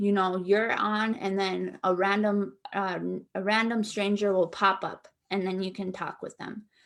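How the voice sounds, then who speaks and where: A woman's voice with fairly even intonation. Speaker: trafficking survivor speaker. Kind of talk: live webinar talk with audience Q&A. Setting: online webinar call. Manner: conversational, informal.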